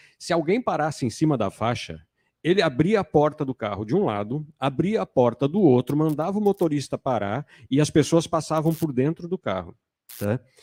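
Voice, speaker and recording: In an unremarkable speaking voice, someone talks at a fairly quick pace with lively intonation, the sound dry and close with no echo and the recording very clean over a silent background. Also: man. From Brazil, São Paulo city. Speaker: panel moderator. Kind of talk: panel discussion.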